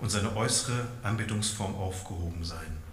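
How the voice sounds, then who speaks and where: Lively male intonation, noticeable noise in the background. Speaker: preacher. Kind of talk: sermon. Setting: church.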